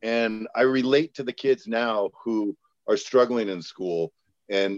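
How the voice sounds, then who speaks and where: A man with an ordinary speaking voice talks at a medium pitch with ordinary pitch variation, recorded dry and close with no echo. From San Jose, California. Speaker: school educator. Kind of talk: casual chat.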